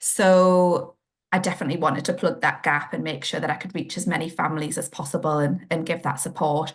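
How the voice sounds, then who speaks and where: The speaker talks at a fairly quick pace in a northeast English accent. The voice is somewhat breathy, with fairly even intonation. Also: woman, fairly low pitch for a woman. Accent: northeast England. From northeast England. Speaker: children's occupational therapist, podcast co-host. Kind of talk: casual chat.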